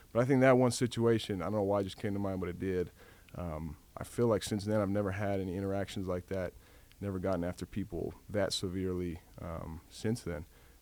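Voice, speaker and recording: A quiet man's voice, fairly low and fairly even, at a fairly quick pace. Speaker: college football quarterback. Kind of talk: interview. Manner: quiet, reserved; hesitant with many fillers.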